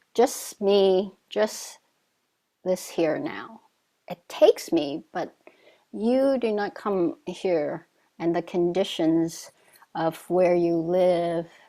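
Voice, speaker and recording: Speaking at a very slow pace with long, frequent pauses, a woman with a Vietnamese accent uses lively intonation and a dark, mellow tone at a fairly low pitch. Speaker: Zen teacher. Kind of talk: dharma talk. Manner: halting.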